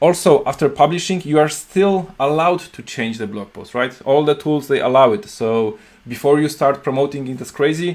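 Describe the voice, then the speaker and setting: A man in a Polish accent talks at a moderate pace and a fairly high pitch, with ordinary pitch variation, big swings in loudness and hardly any pauses. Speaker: software company CEO and programmer. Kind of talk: video tutorial talk. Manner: halting, many fillers and restarts.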